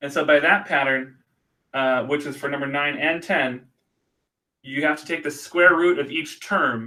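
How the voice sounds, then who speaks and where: With long, frequent pauses, a man speaks in a bright, sharp tone at a fairly high pitch with fairly even intonation. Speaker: math teacher. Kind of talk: tutorial. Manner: fast; casual, with fillers.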